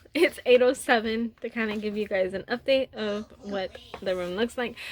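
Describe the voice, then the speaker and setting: A woman with an American accent speaks at a moderate pace and fairly high pitch. Noticeable background noise is present. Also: ordinary pitch variation. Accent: country accent, comes out at times. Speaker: vlogger and mother. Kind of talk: casual home vlog.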